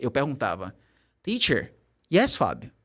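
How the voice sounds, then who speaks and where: On a very clean recording with a silent background, a man talks at a moderate pace. His tone is animated, with very wide pitch swings. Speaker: English teacher. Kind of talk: casual chat.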